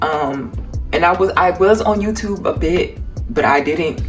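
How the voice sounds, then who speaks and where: Music plays in the background as a woman speaks with an American accent. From Cleveland, Ohio, US. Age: 20s. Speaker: artist. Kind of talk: casual talk to camera.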